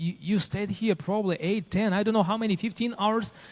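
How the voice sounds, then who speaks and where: A man is speaking. He has a Ukrainian accent. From Ukraine. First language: Ukrainian or Russian. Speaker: pastor. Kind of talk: testimony. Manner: halting.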